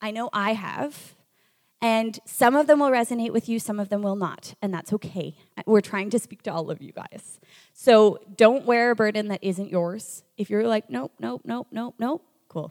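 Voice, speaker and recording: A woman with an ordinary speaking voice, fairly high pitch, lively intonation, big swings in loudness and a moderate pace, in a dry, close sound with no echo. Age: 20s. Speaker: youth ministry leader. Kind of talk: sermon. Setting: stage with audience.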